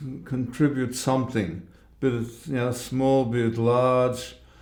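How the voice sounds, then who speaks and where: A man speaks in a medium-pitched voice with a dark, mellow tone. Room echo is audible. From central Europe, Germany and Czech Republic, later Australia. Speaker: Holocaust survivor. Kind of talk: interview. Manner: halting.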